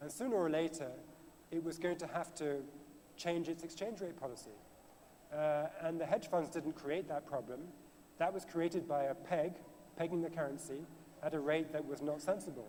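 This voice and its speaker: Speaking with a British accent, a man uses a fairly high pitch and ordinary pitch variation at a moderate pace, broken by long, frequent pauses. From Britain. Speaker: author and financial journalist. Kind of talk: panel discussion.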